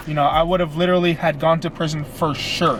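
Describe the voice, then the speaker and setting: With noticeable background noise around him, a man talks at a fairly quick pace. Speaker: fitness vlogger. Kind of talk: storytime vlog. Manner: stutters; casual, filler-heavy.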